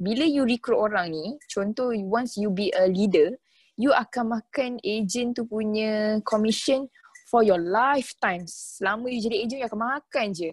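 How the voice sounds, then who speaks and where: A woman with a fairly high pitch speaks at a fairly slow pace in a somewhat breathy voice, with ordinary pitch variation and a dry, close sound free of echo. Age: 20s. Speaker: takaful consultant. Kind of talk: casual interview chat.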